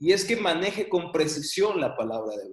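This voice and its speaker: The pace is moderate. The speaker is a man. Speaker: Bible teacher. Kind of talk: online class lecture.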